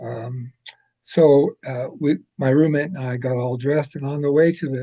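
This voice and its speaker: A man with an American accent speaks in a fairly high, somewhat breathy voice. His tone is dark and mellow, with ordinary pitch variation. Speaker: retired speech language pathologist. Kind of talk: casual interview conversation. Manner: halting with many fillers.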